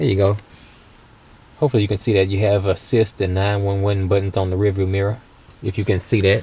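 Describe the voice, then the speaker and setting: Speaking at a very fast pace yet with long, frequent pauses, a man uses a fairly low, somewhat breathy voice with a dark, mellow tone and flat, monotone intonation. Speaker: car reviewer. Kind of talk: casual car review walkthrough. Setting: inside a car. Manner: casual, conversational.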